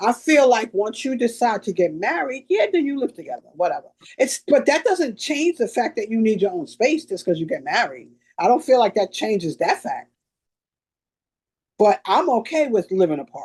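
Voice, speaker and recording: A woman's loud, fairly high voice at a moderate pace, with very wide pitch swings. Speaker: podcast co-host. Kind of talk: casual chat. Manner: loud, expressive.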